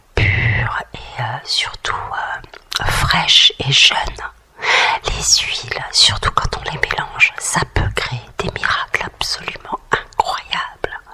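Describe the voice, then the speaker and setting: Whispering at a very slow pace, a woman can be heard over noticeable background noise. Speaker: ASMR and relaxation creator. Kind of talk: ASMR beauty-tips talk. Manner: whispered, relaxing.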